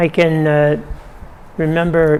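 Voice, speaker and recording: A man speaks at a fairly high pitch with monotone, flat intonation. There is noticeable background noise. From Ontario, Canada. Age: 90s. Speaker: elderly local resident. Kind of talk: oral history interview. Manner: halting, many fillers and repetitions.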